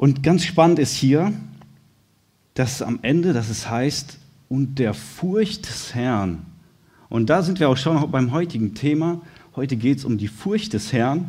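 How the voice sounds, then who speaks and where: Slow and somewhat breathy, a man speaks with a fairly high pitch, a dark, mellow tone and lively intonation. Audible room echo surrounds long, frequent pauses. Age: 30s. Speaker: lay preacher, firefighter by trade. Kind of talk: sermon.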